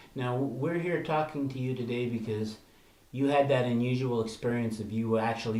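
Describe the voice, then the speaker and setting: Over noticeable background noise, a man speaks fairly quickly at a medium pitch. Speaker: newspaper reporter. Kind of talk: interviewer questions.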